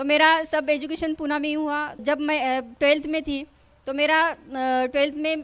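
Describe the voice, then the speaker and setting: A woman talks at a moderate pace with a high pitch. Her intonation is monotone and flat. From India, village near Pune. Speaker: network marketing distributor. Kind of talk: stage speech. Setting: stage with audience. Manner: halting.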